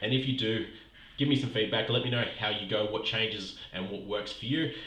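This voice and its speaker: Medium-pitched man with an Australian accent at a moderate pace, ordinary pitch variation, audible room echo and noticeable background noise. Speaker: podcast host and health coach. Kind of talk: motivational podcast monologue. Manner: breathless, like walking uphill.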